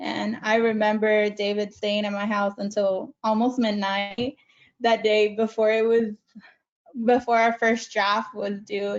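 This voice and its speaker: Fairly high-pitched and in a Spanish accent, a woman speaks at a fairly slow pace with monotone, flat intonation. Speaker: community college alumna. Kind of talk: panel interview.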